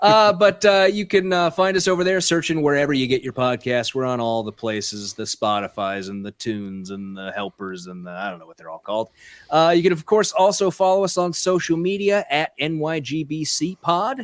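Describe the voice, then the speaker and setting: Speaking fairly quickly with hardly any pauses, a man with a fairly high voice makes very wide pitch swings and big swings in loudness in a dry, close sound with no echo. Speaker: podcast host. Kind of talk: casual chat. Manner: sarcastic-sounding delivery.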